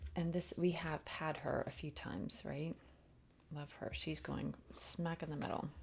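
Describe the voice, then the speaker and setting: A quiet woman's voice at a fairly slow pace. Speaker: tarot reader and spiritual channeler. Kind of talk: spiritual oracle card reading livestream. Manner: quiet, low voice.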